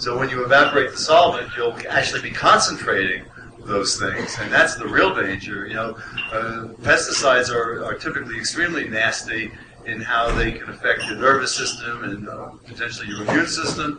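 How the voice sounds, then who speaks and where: A man talks at a fairly quick pace, his loudness swinging widely. Room echo is audible, and background noise is noticeable. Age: 60s. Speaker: cannabis researcher on a panel. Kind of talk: panel discussion.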